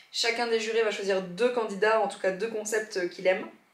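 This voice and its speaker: A woman speaks at a fairly quick pace with fairly even intonation, and audible room echo surrounds her voice. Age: 30s. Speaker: podcaster and YouTuber. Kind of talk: vlog. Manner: fast; casual, hesitant fillers.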